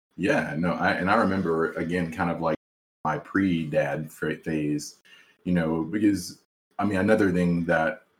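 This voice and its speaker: A man speaks with an American accent at a very deep, low pitch. His intonation stays fairly even. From South Carolina. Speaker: podcast host, psychologist and new father. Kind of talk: casual chat.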